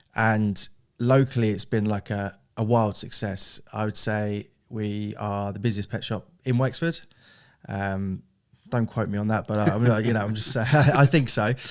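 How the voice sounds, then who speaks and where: A man with a southern English accent speaks at a fairly low pitch and fairly slow pace on a very clean recording with a silent background. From southern England (Hastings, East Sussex). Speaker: e-commerce director of a family business. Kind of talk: podcast interview. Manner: casual, with fillers and repetitions.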